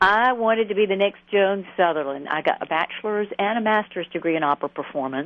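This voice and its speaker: Someone with an Atlanta accent talks at a very fast pace with hardly any pauses and lively intonation. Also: woman, medium pitch for a woman. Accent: Southern US (Atlanta). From US South, Atlanta. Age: 50s. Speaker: therapist and author. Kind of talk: radio interview.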